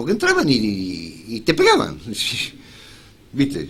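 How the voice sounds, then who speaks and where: A man's voice with vocal fry and a Rioplatense accent. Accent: Argentine Rioplatense Spanish. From Rojas, Buenos Aires, Argentina. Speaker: journalist and radio announcer. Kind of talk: interview answer. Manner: casual, conversational.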